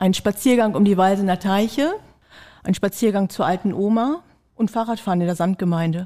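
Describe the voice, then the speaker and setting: This woman's dark, mellow tone moves at a fairly quick pace on a very clean recording with a silent background. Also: medium pitch for a woman, ordinary pitch variation. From Lower Saxony, Diepholz district. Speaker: mayoral candidate, tax advisor. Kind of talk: candidate interview.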